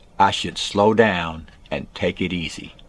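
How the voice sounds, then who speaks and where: The speech unfolds very slowly, with music playing behind it. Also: man. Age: 70s. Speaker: music teacher and YouTuber. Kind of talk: casual comedic video message.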